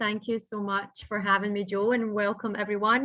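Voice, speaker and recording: A woman is speaking. She has a Scottish accent. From Scotland. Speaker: business founder and consultant. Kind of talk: interview.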